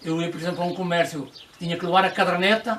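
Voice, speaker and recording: A man with a high pitch against noticeable background noise. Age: 80s+. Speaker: local elder explaining old traditions. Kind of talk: casual explanatory chat on a guided visit. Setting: old village olive press, with visitors. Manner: halting, with many repetitions.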